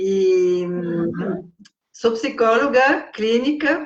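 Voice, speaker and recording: This is a woman speaking. She has a Brazilian accent. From France. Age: 60s. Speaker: psychologist and writer. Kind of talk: interview.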